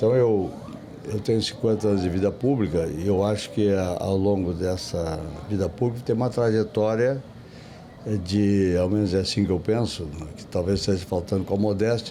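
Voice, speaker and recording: With audible room echo, a man with a fairly low pitch speaks at a moderate pace in fairly even intonation. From southern Brazil, Rio Grande do Sul (Santa Maria). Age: 70s. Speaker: politician, city planning secretary. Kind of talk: interview. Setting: podcast at a book fair. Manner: halting, with repetitions.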